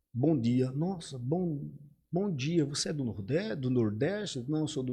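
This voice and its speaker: Somewhat breathy speech with lively intonation unfolds at a very slow pace amid audible room echo. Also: man. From Arapiraca, Alagoas, Brazil (Northeast). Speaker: English teacher. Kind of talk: casual interview chat.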